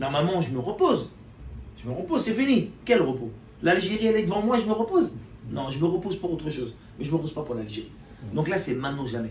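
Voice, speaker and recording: Speaking at a very fast pace yet with long, frequent pauses, a man uses a high pitch, very wide pitch swings and an animated tone. Audible room echo surrounds him. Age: 50s. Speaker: importer and promoter of Algerian products. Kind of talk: casual talk to camera.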